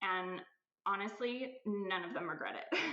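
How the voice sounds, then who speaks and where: A woman talks with a Californian accent and ordinary pitch variation. She keeps a fairly slow pace, and audible room echo can be heard. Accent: American (Californian). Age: 40s. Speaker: aesthetic nurse, clinic owner. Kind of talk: podcast interview.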